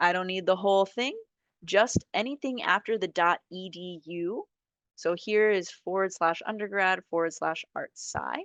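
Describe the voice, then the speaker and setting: A woman with a normal speaking voice talks at a fairly slow pace and a medium pitch, her pitch varying in an ordinary way, in a dry, close recording with no echo and a quiet background. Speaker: software trainer. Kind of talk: software training tutorial. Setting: video call.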